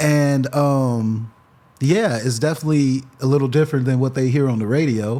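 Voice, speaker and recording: A man with an American accent, medium pitch, a dark, mellow tone, ordinary pitch variation and a moderate pace. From Freeport, Illinois. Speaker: rapper. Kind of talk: casual interview chat.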